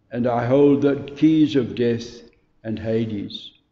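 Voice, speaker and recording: A very slow-paced male voice in a room with audible echo. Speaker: scripture reader. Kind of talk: bible reading. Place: church. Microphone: camera far.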